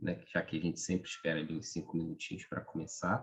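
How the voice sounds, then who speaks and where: This man is soft-spoken. He talks at a moderate pace. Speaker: study group leader. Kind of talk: group discussion wrap-up.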